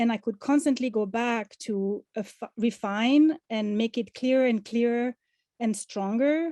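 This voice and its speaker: A woman with a non-native accent, fairly high in pitch with a dark, mellow tone, at a fairly slow pace with ordinary pitch variation, in a dry, close sound with no echo and a quiet background. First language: not English. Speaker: artist and past award recipient. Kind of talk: testimony. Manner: halting, many fillers and restarts.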